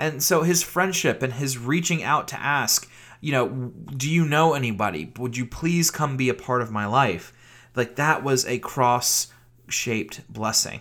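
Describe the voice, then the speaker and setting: An unremarkable speaking voice from a man with an American accent, medium pitch, ordinary pitch variation and a fairly slow pace, in a very clean recording with a silent background. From Virginia, US South. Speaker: pastor. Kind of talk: sermon.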